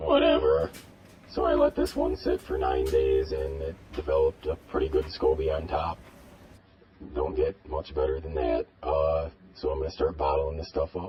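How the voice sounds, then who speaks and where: At a moderate pace, a man performs a put-on character voice. His pitch sits very deep and low. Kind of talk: how-to narration. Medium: role play.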